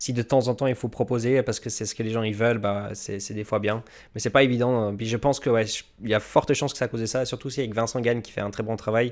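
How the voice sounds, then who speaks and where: Delivered at a very fast pace, the speech stays monotone and flat, on a very clean recording with a silent background. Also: man, medium pitch for a man. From Switzerland. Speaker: YouTube crypto channel host. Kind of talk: interview.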